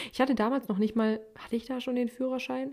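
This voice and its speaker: A woman's dark, mellow tone rushes by at a very fast pace. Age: 20s. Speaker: podcaster. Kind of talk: personal monologue podcast. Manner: casual, chatty.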